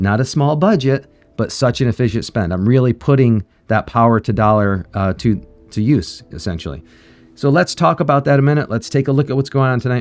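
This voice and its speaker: Speaking at a fairly quick pace with lively intonation, a man uses a medium pitch over music in the background. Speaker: mobile game streamer. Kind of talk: casual gameplay commentary. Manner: halting, many fillers.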